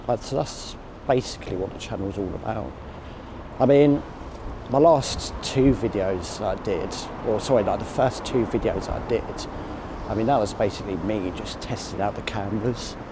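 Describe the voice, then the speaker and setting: Amid noticeable background noise and audible room echo, a man with a Manchester accent and fairly low pitch talks at a moderate pace with ordinary pitch variation and long, frequent pauses. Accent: northern English (Manchester). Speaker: vlogger. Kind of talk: walking vlog monologue. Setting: in a car, then walking city streets. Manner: trembly at times; hesitant, filler-heavy.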